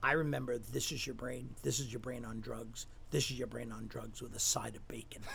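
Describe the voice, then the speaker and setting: Over noticeable background noise and audible room echo, a man with an American accent talks at a fairly quick pace. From Staten Island, New York. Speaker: recovery center executive, recovering alcoholic. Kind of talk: interview, personal testimony.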